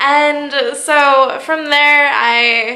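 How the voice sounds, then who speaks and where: A woman's raised, projected voice with fairly even intonation, amid noticeable background noise and audible room echo. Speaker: vlogger sharing personal health story. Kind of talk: personal vlog. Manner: casual, repetitive with fillers.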